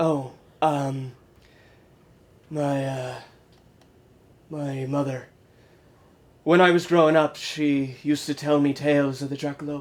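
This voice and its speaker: A man puts on a character voice, fairly high-pitched for a man, speaking in a monotone with flat intonation at a fairly slow pace and with long, frequent pauses. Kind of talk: mockumentary interview answer. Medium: stage. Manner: gruff, deadpan, folksy.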